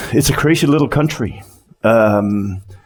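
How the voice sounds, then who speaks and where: This man's pitch is medium, and it varies in an ordinary way. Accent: Danish. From Denmark. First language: Danish. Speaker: company CEO, conference speaker. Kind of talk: conference talk. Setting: stage with audience. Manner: halting, many repeated words.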